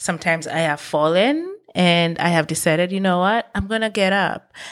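A woman with a plain, everyday voice talks at a moderate pace, fairly low in pitch with ordinary pitch variation. The recording is very clean, with a silent background. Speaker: motivational podcast host. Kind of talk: motivational monologue. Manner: earnest, encouraging.

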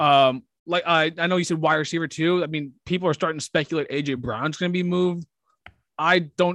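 With a fairly high pitch and fairly even intonation, a man speaks in an unremarkable speaking voice, the sound dry and close with no echo. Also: fairly quick pace. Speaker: sports podcast co-host. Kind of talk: casual chat.

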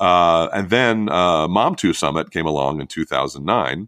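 In a very clean recording with a silent background and a dry, close sound with no echo, a man with an American accent speaks at a moderate pace in a very deep, low pitch, his bright, sharp tone carrying vocal fry and ordinary pitch variation. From New York suburbs. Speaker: dad blogger and summit founder. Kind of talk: casual interview. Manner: stammering.

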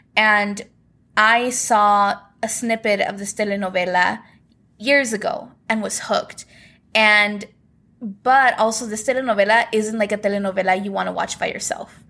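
A loud voice with a bright, sharp tone and fairly even intonation. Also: woman, fairly high pitch for a woman, moderate pace. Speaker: podcast host. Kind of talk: casual chat.

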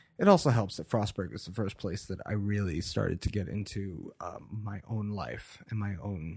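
The recording is very clean, with a silent background. The somewhat breathy voice moves at a fairly slow pace with ordinary pitch variation. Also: man. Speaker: muralist and painter. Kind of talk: interview.

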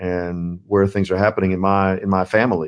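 A man speaks in a very deep, low voice with an American accent. The background is quiet. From US South, central Florida. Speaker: seminary president. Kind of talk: interview.

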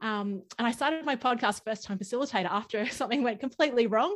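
A woman speaks at a fairly quick pace with an Australian accent. Her pitch is fairly high and varies in an ordinary way, over a quiet background. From Brisbane, Australia. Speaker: workshop facilitator, podcast guest. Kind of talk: casual, enthusiastic conversation. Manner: fast talker.

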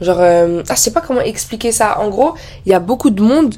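A woman speaks with music in the background. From France. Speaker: podcaster. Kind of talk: casual monologue. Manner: animated.

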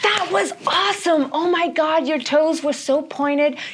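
A high-pitched, put-on character voice speaks at a moderate pace. Clear background noise sits behind it. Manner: gushing, upbeat.

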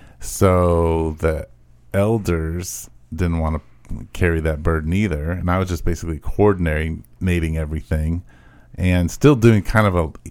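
Fairly even intonation marks a man speaking in a very deep, low pitch. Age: 50s. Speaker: pastor. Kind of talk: casual chat.

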